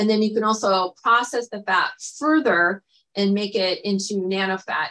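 A woman speaks at a medium pitch with a bright, sharp tone and ordinary pitch variation against a quiet background. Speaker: plastic surgeon. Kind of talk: live virtual presentation. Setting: online video broadcast. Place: home room. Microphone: webcam.

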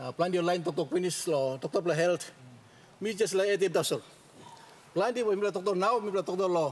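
A man talks at a fairly quick pace with a high pitch and ordinary pitch variation. He leaves long, frequent pauses. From Papua New Guinea. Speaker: member of parliament. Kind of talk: parliamentary speech. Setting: parliament chamber. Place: hall. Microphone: podium.

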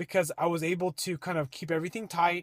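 Recorded with a dry sound and no echo against a quiet background, a man speaks at a moderate pace. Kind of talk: casual vlog chat. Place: car. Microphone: phone near.

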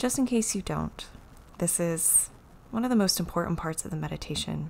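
A woman's fairly low-pitched voice, gentle in tone, at a moderate pace. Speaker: yoga and meditation teacher. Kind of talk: guided meditation. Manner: gentle, instructional. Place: home room.

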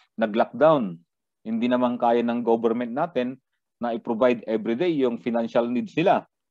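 A man's dark, mellow tone at a moderate pace. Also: medium pitch for a man, ordinary pitch variation. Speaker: criminology lecturer. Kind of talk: lecture. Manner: halting, frequent fillers.

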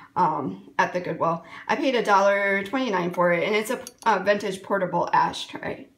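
With ordinary pitch variation, the speech keeps a moderate speed. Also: woman. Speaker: thrift haul vlogger. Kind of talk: casual vlog chat. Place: kitchen. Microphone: phone near.

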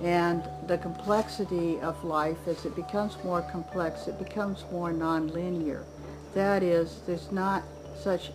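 With clear music in the background, a woman speaks at a fairly slow pace. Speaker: interviewee. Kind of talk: interview answer. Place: garden.

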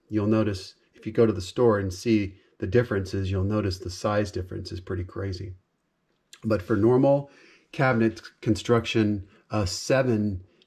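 Against a quiet background, a man speaks at a moderate pace in a fairly low, somewhat breathy voice with fairly even intonation. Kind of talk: tutorial. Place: workshop. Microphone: phone near.

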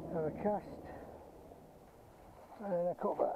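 A man speaks slowly in a high voice with fairly even intonation. Faint background noise is present.

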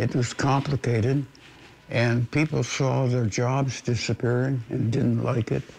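Somewhat breathy and at medium pitch, a man with a Canadian accent talks at a fairly slow pace in a monotone, flat intonation with very even loudness. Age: 80s+. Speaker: retired broadcast technician. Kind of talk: interview answer.

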